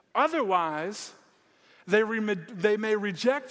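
A man's very slow speech with lively intonation on a very clean recording with a silent background. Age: 30s. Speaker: guest preacher. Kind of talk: sermon. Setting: church. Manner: halting, many repeated words.

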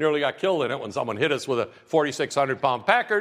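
This man talks at a very fast pace in a fairly high pitch, his voice making very wide pitch swings. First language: non-English (immigrated at seven). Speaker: campus pastor. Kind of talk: sermon. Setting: church. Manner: warm, conversational.

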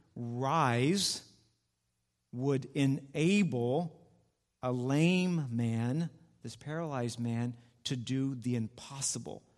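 A man speaks at a very slow pace with ordinary pitch variation. His long pauses come often. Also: medium pitch for a man. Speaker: church elder. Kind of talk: sermon. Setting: church.

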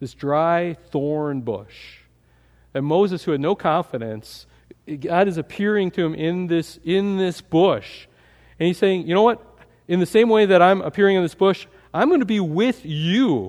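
A man with a high pitch and lively intonation, at a fairly slow pace. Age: 40s. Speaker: pastor. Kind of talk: sermon. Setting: church. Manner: halting.

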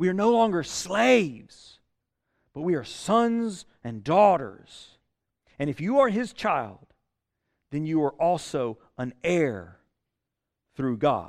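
A man with a Southern US accent speaks at a very slow pace in a high voice, his pitch swinging very widely, with long, frequent pauses, on a very clean recording with a silent background. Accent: Southern US (Georgia). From US South, South Georgia. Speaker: pastor. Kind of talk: sermon. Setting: church. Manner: halting, many fillers and repeats.

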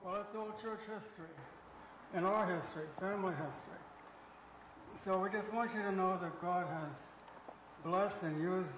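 A man's high-pitched voice, fairly even in intonation and fairly slow in pace, over noticeable background noise. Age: 80s+. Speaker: retired missionary. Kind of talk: testimony. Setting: church with congregation. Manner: halting.

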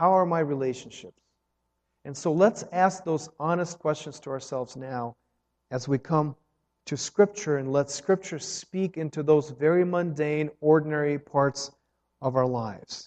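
A man's ordinary speaking voice, fairly high-pitched, at a fairly slow pace with ordinary pitch variation. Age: 30s. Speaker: pastor. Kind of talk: sermon.

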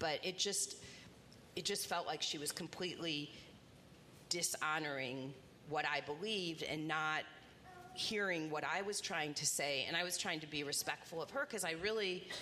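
A woman with an American accent at a moderate pace, ordinary pitch variation, and audible room echo. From Indiana, Indianapolis. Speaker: rabbi. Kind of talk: onstage interview in church.

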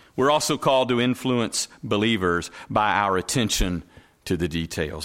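Speaking with a Southern US accent, a man moves at a fairly slow pace with very wide pitch swings. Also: very clean recording, silent background. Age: 40s. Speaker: pastor. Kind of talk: sermon. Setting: church.

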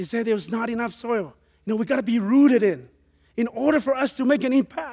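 The voice has a dark, mellow tone and ordinary pitch variation, delivered at a very fast pace. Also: man, extremely high pitch for a man. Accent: Samoan. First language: Samoan. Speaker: missionary preacher. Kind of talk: sermon. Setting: church with congregation.

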